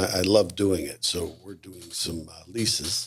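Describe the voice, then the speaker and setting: Using an unremarkable speaking voice, a man talks at a moderate pace with ordinary pitch variation. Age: 60s. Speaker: retired mall leasing executive. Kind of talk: casual interview chat.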